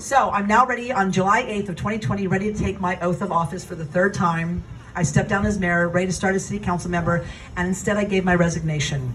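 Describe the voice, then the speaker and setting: A woman with an American accent talks very fast in an animated tone, at medium pitch with ordinary pitch variation. Audible room echo and noticeable background noise surround her. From Northern California. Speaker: politician. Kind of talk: campaign speech. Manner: loud.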